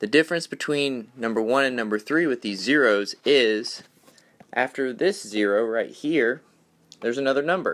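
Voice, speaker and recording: A man in a plain, everyday voice, medium in pitch with ordinary pitch variation, at a moderate pace. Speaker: teacher. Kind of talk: tutorial.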